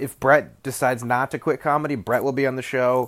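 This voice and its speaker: Recorded very cleanly against a silent background, a man speaks at a fairly quick pace with fairly even intonation. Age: 30s. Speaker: comedian and podcast host. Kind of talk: casual solo chat.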